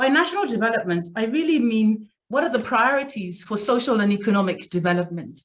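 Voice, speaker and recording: A woman's fairly high, somewhat breathy voice with lively intonation at a fairly quick pace. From Zambia. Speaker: executive coach. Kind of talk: lecture.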